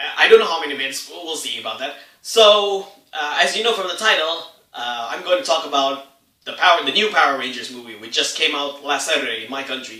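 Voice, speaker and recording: Talking very fast with lively intonation, a man with a fairly high voice swings widely in loudness amid audible room echo. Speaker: movie reviewer. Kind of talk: unscripted movie review. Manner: halting, tongue-tied.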